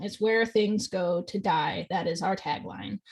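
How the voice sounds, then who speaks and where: A woman with a normal speaking voice delivers her words at a moderate pace, her pitch varying in an ordinary way. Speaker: college radio host. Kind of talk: casual chat.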